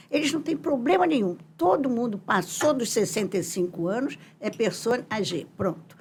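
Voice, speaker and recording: Her pitch swinging very widely, a woman speaks at a fairly slow pace over noticeable background noise. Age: 80s+. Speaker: psychologist and professor. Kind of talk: interview.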